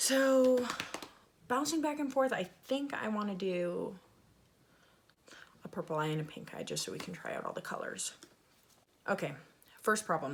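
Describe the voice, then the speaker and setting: With noticeable background noise around her, a woman talks at a moderate pace, her pitch swinging very widely. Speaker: beauty vlogger. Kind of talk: makeup tutorial. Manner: casual.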